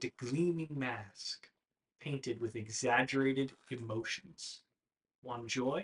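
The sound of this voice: With a quiet background, an unforced reading voice carries ordinary pitch variation.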